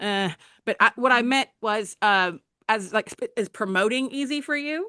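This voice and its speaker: A fairly high-pitched woman with a Southern US accent, bright and sharp in tone, lively in intonation, at a moderate pace, the sound dry and close with no echo over a quiet background. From Alabama, US South. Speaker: book channel host and author. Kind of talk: interview.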